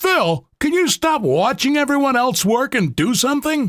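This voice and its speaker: Doing a put-on character voice at an extremely high pitch, a man swings his pitch very widely while keeping his loudness very even at a moderate pace. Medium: read story. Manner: snappy, scornful.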